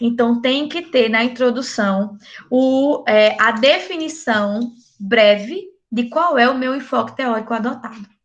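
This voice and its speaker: This woman talks at a fairly slow pace in a high voice. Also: ordinary pitch variation. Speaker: university lecturer. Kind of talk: online lecture. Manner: casual, animated.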